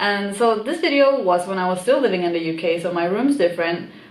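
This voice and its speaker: Audible room echo surrounds a woman's voice. Her pitch is medium, with ordinary variation. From Sweden. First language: Swedish. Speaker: YouTuber. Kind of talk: casual vlog. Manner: animated.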